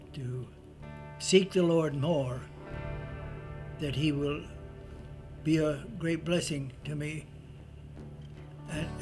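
A man speaks at a very slow pace with long, frequent pauses and fairly even intonation, his pitch fairly high. Clear music plays in the background. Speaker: church member, retired. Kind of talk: personal testimony, interview answer. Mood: warm, reflective, devout. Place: home room.

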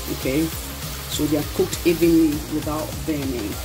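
Speech at a moderate pace over clear music in the background. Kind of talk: tutorial. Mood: cheerful, pleased. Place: kitchen. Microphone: phone near.

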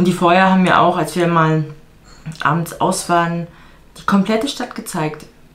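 A woman with a fairly low pitch speaks at a moderate pace with fairly even intonation and long, frequent pauses. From Germany. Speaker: vlogger and fitness coach; vlogger, fitness coach. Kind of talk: casual vlog talk to camera. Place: home room. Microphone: camera far.

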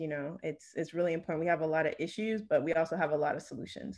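A woman talks at a very fast pace with an American accent. Her pitch is very deep and low. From New Jersey, US. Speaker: researcher, environmental educator, panelist; panelist. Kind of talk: academic talk. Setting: video call. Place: home room. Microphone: video call.

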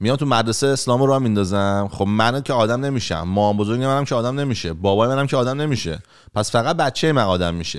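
Against a quiet background, the speaker races at a very fast pace with hardly any pauses and ordinary pitch variation. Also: man. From Iran. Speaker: comedian. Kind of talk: casual chat. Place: home room. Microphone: studio mic.

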